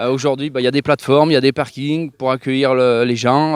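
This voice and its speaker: A man speaks fairly quickly in a fairly high voice. The sound is dry and close, with no echo. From France, Loire (Saint-Étienne area). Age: 30s. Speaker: farmer and horse breeder. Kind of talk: interview. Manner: hesitant, many fillers.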